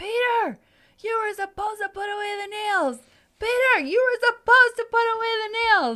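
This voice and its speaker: A put-on character voice shouts at a moderate pace, squeaky and extremely high in pitch. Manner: yelling, scolding.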